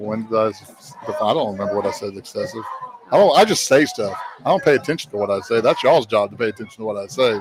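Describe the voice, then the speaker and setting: A man with an Alabama accent talks at a very fast pace, his loudness swinging widely, over noticeable background noise. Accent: Southern US (Alabama). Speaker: high school football play-by-play announcer. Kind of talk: live commentary. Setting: broadcast booth with headset.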